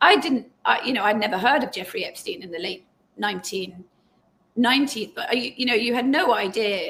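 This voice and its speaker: In an English accent, a woman speaks at a fairly quick pace with a high pitch, lively intonation and big swings in loudness. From England. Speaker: journalist and author. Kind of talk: interview conversation.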